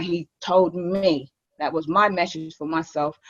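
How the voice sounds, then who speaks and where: A woman's fairly low-pitched voice carries fairly even intonation in a dry, close sound with no echo. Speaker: recovery centre co-founder. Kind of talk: testimony. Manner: fast.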